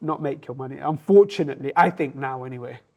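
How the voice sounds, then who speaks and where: Here is a man with a London accent. His pitch is fairly high. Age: 30s. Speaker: restaurant owner. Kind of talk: casual interview chat. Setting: in his restaurant.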